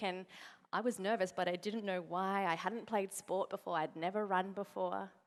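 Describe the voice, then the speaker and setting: A woman speaks with an Australian accent. Her pitch is medium and her pace moderate. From Australia, to Uruguayan parents. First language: Spanish. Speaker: motivational speaker, network marketing partner. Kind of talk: conference keynote speech. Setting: stage with audience. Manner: animated storytelling.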